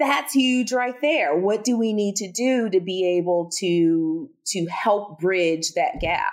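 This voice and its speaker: A woman with a slight Southern US accent speaks at medium pitch with lively intonation. Her pace is very slow, yet she uses hardly any pauses. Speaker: speech-language pathologist and researcher. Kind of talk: interview conversation about research and clinical practice.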